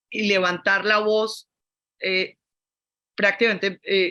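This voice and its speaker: The tone is bright and sharp. A woman is the one talking. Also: dry, close sound with no echo, very clean recording, silent background. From Colombia. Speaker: fashion academic / critic. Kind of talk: panel discussion. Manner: halting.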